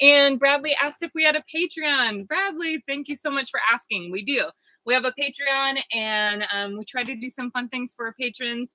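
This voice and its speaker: Loud and high-pitched, a woman talks at a moderate pace. Her pitch variation is ordinary. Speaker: vlogger living in a bus. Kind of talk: live stream Q&A. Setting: inside a bus.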